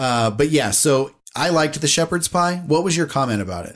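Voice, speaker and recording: Speaking at a moderate pace, a man with a plain, everyday voice uses lively intonation at a fairly high pitch. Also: very clean recording, silent background. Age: 40s. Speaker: podcast co-host, former theme park employee. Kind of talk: casual chat. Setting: home podcast recording.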